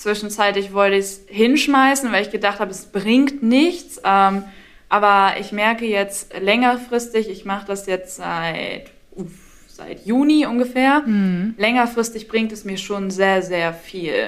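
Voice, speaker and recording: A woman talks at a fairly slow pace with a medium pitch and ordinary pitch variation. Her loudness swings widely. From northern Germany, Schleswig-Holstein. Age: 20s. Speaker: university student sharing recovery story. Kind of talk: interview testimony.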